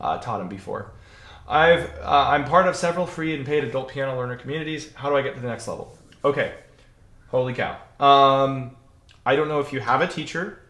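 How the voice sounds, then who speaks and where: Audible room echo surrounds a man with a fairly high voice and a bright, sharp tone. He talks at a fairly quick pace with ordinary pitch variation and long, frequent pauses. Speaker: piano teacher. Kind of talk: Q&A livestream answering viewer questions. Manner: fast; casual, filler-heavy.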